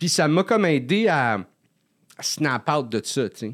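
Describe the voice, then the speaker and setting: In a very clean recording with a silent background, a man speaks fairly slowly at a fairly high pitch with very wide pitch swings. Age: 40s. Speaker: comedian. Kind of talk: casual chat. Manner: halting.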